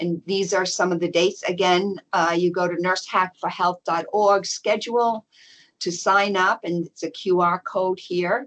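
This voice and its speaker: A woman speaks fairly slowly at a medium pitch, her intonation monotone and flat. The sound is dry and close, with no echo. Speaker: event organizer presenting info session. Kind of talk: online information session presentation.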